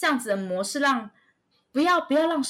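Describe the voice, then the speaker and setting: A woman speaks in an energetic tone, her pitch swinging very widely. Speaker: children's educator and YouTuber. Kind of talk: interview.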